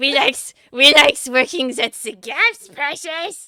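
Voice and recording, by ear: A female-sounding voice at a high pitch performs a put-on character voice. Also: fairly slow pace.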